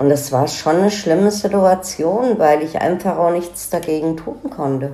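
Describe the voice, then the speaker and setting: A woman speaks in a plain, everyday voice with a fairly low pitch. Her pace is moderate and her pitch variation ordinary. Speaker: daughter of a crime victim. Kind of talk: interview testimony. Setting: in-person interview.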